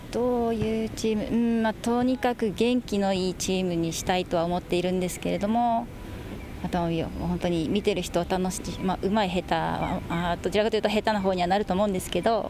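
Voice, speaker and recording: A woman with a normal speaking voice, medium pitch, fairly even intonation and a fairly quick pace. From Okinawa, Japan. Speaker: women's football player-coach. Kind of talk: radio interview.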